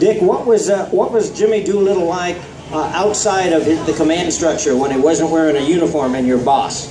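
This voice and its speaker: Music plays in the background. Over it, a man speaks with a high pitch. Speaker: author, moderator. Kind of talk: Q&A moderation at an airshow.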